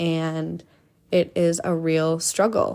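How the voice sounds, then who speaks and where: With an American accent, a woman speaks in a dark, mellow tone. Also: very clean recording, silent background. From Minnesota, US Midwest. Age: 20s. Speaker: podcast host. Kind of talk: casual monologue. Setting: lying in bed at home. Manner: casual, filler-heavy.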